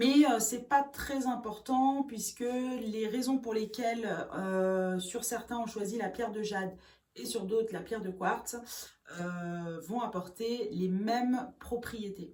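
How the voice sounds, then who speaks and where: Against audible room echo, a woman with a fairly high pitch speaks at a very slow pace with ordinary pitch variation. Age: 40s. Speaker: beautician and makeup artist. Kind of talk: beauty tutorial. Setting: home bathroom. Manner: hesitant, many filler sounds.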